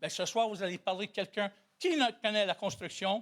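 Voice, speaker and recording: A man's voice, high for a male, animated and loud, on a very clean recording with a silent background. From Italian heritage, Quebec. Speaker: citizen at question period. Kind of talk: heated debate. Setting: municipal council chamber. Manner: loud, forceful.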